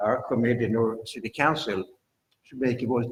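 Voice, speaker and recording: At a moderate pace and medium pitch, a man speaks in a somewhat breathy voice with fairly even intonation. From Sweden. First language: Swedish. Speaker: planning commission member. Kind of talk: public meeting.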